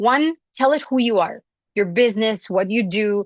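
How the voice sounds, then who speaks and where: A woman speaks with a non-native accent at a fairly high pitch and a moderate pace. The sound is dry and close with no echo, over a quiet background. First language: not English. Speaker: business founder and singer giving a talk. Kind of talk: conference presentation.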